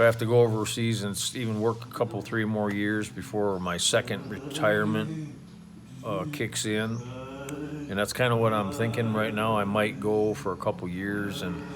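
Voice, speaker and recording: At a moderate pace, a man with an American accent speaks in a fairly low pitch with ordinary pitch variation. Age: 60s. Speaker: expat vlogger, retired oil field worker. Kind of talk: casual vlog monologue. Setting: outdoors at home by a pool. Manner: halting, many fillers and restarts.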